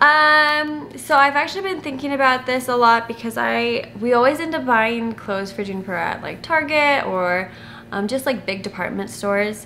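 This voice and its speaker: A woman with a high pitch and lively intonation speaks at a moderate pace with hardly any pauses, amid noticeable background noise and audible room echo. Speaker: family vlogger. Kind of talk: casual Q&A chat to camera. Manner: halting, self-correcting with many fillers.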